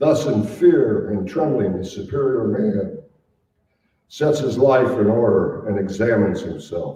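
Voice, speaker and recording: A very slow, somewhat breathy male voice. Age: 80s+. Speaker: author. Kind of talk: author reading from his memoir.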